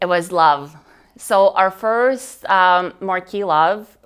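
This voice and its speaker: A woman speaks with a Russian accent. Her pitch varies in an ordinary way. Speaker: wedding display business owner. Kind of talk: interview. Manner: talkative.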